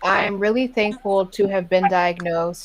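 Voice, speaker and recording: An ordinary speaking voice from a woman at a moderate pace, with fairly even intonation. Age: 20s. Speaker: IBD patient sharing her story. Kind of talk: patient interview.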